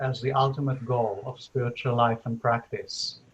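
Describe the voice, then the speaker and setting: Somewhat breathy tones come through here. The speaker is a man. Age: 60s. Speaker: spiritual teacher and interviewer. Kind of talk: casual chat. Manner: halting.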